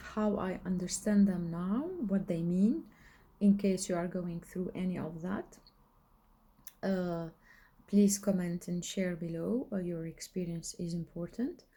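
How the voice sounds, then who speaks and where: Her tone is dark and mellow, and her voice is somewhat breathy. The woman speaks at a fairly slow pace with fairly even intonation. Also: medium pitch for a woman. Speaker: spiritual coach and video blogger. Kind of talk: casual monologue. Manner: halting, many fillers. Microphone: recording without the microphone.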